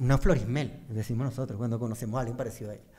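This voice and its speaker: Over a quiet background, a man talks at a very fast pace. His voice is somewhat breathy. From Venezuela. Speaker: podcast co-host. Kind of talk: casual chat. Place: studio. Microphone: studio mic.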